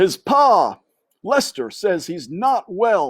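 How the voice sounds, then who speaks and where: Put on as a character, this middle-pitched voice moves at a very slow pace with very wide pitch swings. The recording is very clean, with a silent background. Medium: read story.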